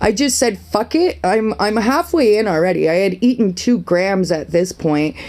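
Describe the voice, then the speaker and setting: Noticeable background noise sits behind a woman's voice. Her pitch is medium, with ordinary variation. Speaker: vlogger sharing personal story. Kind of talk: casual monologue vlog. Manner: rambling, self-interrupting.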